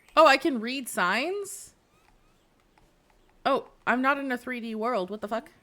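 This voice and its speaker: In a very clean recording with a silent background, a woman with a high pitch uses a raised, projected voice and an animated tone, her intonation lively, her loudness swinging widely and her speech broken by long, frequent pauses. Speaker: Twitch streamer. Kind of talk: live gameplay stream.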